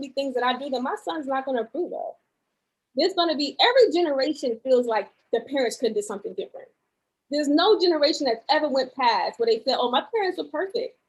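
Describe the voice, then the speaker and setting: A woman's high-pitched voice with a New York accent, very fast, with very wide pitch swings. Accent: New York, talks hard. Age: 30s. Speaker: podcast guest. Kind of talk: casual chat.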